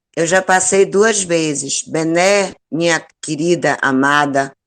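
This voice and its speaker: Very slow pace with ordinary pitch variation. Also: woman. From Bahia, Brazil. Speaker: co-host. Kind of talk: casual chat.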